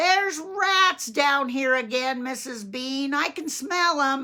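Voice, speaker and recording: A woman's put-on character voice, raised and projected, high-pitched, with lively intonation. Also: fairly slow pace. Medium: read story. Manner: coarse, deferential.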